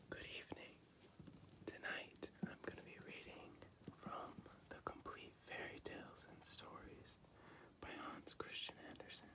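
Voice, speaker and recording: Long pauses break up the speech often. It is a whisper, delivered at a fairly slow pace. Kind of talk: bedtime fairy tale reading. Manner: whispered; soft, relaxing.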